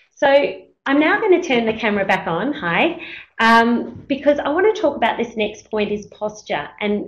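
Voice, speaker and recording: Heard with audible room echo, a woman speaks at a moderate pace in a fairly high, somewhat breathy voice that swings very widely in pitch. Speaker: teacher presenting a webinar. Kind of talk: webinar presentation. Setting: web conference.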